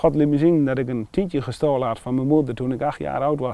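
A man speaks at a moderate pace with a dark, mellow tone and ordinary pitch variation, the sound dry with no echo. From Netherlands, Wapenveld/Wezep area (Gelderland); Gelderland, Netherlands. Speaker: churchgoer sharing faith story; interviewee. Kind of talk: testimony. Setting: outdoors. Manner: halting. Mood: earnest, personal, emotional story. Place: open country.

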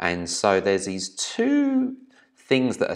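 Behind the speaker, there is quiet. The voice is a man's. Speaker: business trainer. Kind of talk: presentation. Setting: video recording. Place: home room. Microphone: webcam.

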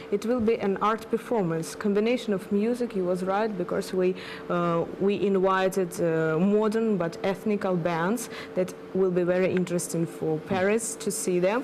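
Noticeable background noise sits under a woman speaking at a moderate pace. Her loudness stays very even, and her intonation is fairly even. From Ukraine. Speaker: fashion magazine editor and event organizer. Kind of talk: interview. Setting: studio. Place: studio.

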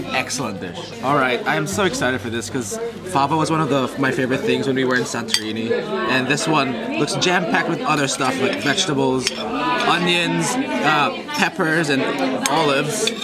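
A man at a moderate pace over crowd noise in the background. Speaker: food vlogger. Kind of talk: casual food review vlog.

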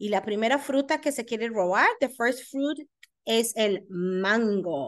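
Against a quiet background, a woman speaks at a very slow pace with a fairly high pitch and very wide pitch swings. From Costa Rica. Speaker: elementary school principal; teacher reading a picture book. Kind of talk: reading aloud to children. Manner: animated. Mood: warm, encouraging. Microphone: webcam.

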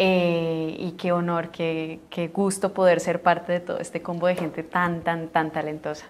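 A woman with a fairly low pitch speaks at a fairly slow pace in a monotone, flat intonation, with hardly any pauses. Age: young. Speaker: actress. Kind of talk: press junket interview. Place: studio. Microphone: lapel.

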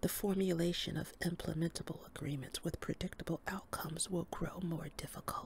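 At a moderate pace, a woman talks in a whisper. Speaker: reader. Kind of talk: reading aloud from a book. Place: home room. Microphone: studio mic.

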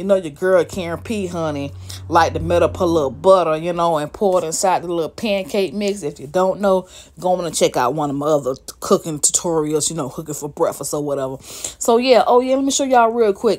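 Music plays in the background as a woman speaks fairly quickly at a fairly low pitch. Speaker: home cook vlogger. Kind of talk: casual cooking tutorial chat. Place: kitchen. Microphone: phone near.

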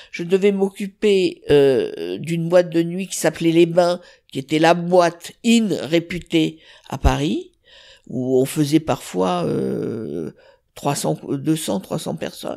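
In a very clean recording with a silent background, a woman talks at a very slow pace, her loudness swinging widely. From southern France. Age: 70s. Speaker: chef. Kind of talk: interview. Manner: halting.

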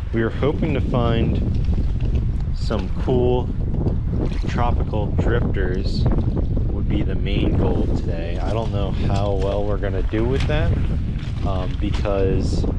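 A man speaking very slowly over loud background noise. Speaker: angler vlogger. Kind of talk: casual vlog chat. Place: waterside. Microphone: phone near.

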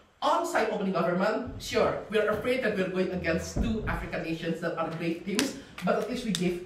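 The speech moves at a fairly quick pace with hardly any pauses, carrying audible room echo and light background noise. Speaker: debater. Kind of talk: competitive debate speech. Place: classroom. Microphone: camera far.

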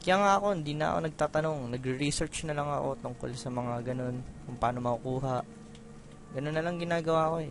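Here a man speaks very fast. His pitch is fairly high. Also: ordinary pitch variation. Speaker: gaming let's play commentator. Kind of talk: casual gameplay commentary. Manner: halting.

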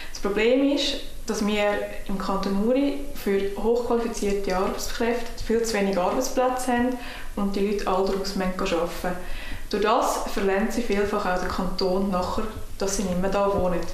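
A woman with a Swiss German accent speaks in a medium pitch and fairly even intonation. There is light background noise and audible room echo. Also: moderate pace. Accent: Swiss German (Uri). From Switzerland (canton Uri). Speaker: political candidate. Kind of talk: campaign self-introduction. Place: home room.

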